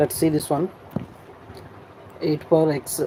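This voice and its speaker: A Telugu accent over noticeable background noise. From Andhra Pradesh, India. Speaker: online exam-prep teacher. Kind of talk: live-stream tutorial. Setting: live stream.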